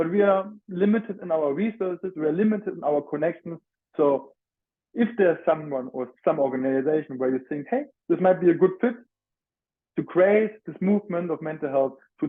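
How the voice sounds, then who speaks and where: A high-pitched man with a strong German accent, lively intonation, and a fairly quick pace. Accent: heavy German. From Germany (Frankfurt). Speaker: student mental health advocate. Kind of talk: presentation. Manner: halting.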